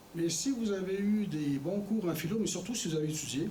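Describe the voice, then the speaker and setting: Audible room echo and noticeable background noise, with ordinary pitch variation. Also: man. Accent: Quebec. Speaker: former politician, guest speaker. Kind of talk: lecture. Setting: college lecture with audience. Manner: conversational with hesitations.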